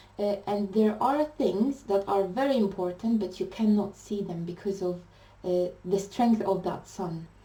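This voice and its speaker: A woman speaks at a medium pitch and a fairly slow pace. Her pitch variation is ordinary. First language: not English. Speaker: tarot reader. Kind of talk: tarot reading monologue. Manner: hesitant, many fillers.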